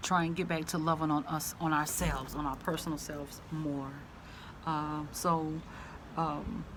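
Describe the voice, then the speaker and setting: A woman speaks with a Southern US accent in a very deep, low pitch and monotone, flat intonation. Room echo is audible. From US South. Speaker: vlogger. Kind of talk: casual vlog monologue. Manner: halting, many fillers.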